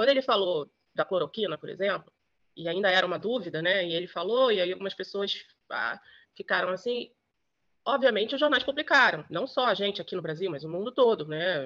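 The delivery moves at a fairly quick pace with lively intonation, broken up by long, frequent pauses. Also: woman, medium pitch for a woman. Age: 50s. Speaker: journalist. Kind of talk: interview testimony.

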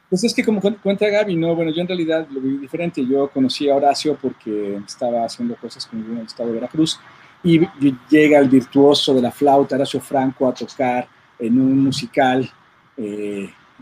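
A man speaks in an unremarkable speaking voice, fairly high in pitch, at a moderate pace. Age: 40s. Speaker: audio engineer and record producer. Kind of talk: casual chat.

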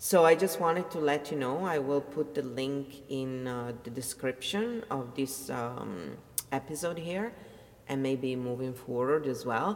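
In an Italian accent, a woman with a very deep, low pitch speaks at a fairly slow pace amid noticeable background noise. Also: ordinary pitch variation. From Italy. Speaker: audiobook narrator and vlogger. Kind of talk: casual monologue.

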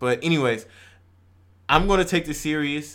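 Speaking very fast with an American accent and ordinary pitch variation, a man is heard on a very clean recording with a silent background. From Texas, Houston area. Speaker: podcast co-host. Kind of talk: casual chat.

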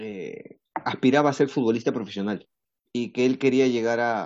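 A plain, everyday voice with fairly even intonation at a moderate pace. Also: man. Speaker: podcast host. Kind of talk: casual chat.

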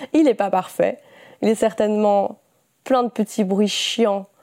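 With vocal fry and a dark, mellow tone, a woman speaks at a fairly slow pace and a medium pitch with ordinary pitch variation, in a very clean recording with a silent background. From Belgium. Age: 20s. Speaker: podcaster. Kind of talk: casual monologue. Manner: spontaneous, unscripted.

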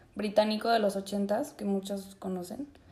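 Someone speaks at a fairly slow pace with a Mexican accent. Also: woman. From Mexico, Zacatecas. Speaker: podcast co-host. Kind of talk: casual chat. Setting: video call.

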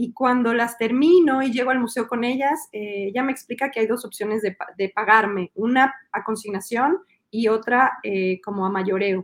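A moderate pace with ordinary pitch variation. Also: woman, fairly high pitch for a woman. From Mexico City. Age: 40s. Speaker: illustrator and children's book author. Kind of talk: interview.

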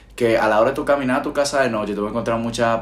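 Noticeable background noise is present. Over it, a man speaks at a fairly low pitch. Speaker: podcast host. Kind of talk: casual chat. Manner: projected, announcer-like tone.

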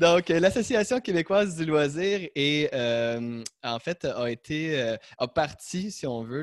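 Very slow in pace, a man's fairly high voice carries lively intonation. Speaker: podcast host. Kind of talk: interview. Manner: halting.

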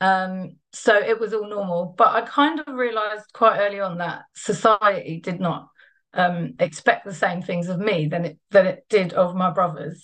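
A woman with a London accent, medium-pitched, ordinary pitch variation, moderate pace. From East London, England. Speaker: trade unionist and feminist activist. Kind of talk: personal testimony talk.

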